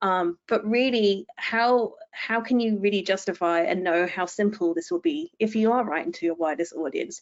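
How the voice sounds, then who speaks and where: Speaking with an English accent, a woman uses lively intonation and a medium pitch at a moderate pace. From England. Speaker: technical writer. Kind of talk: webinar presentation. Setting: online webinar.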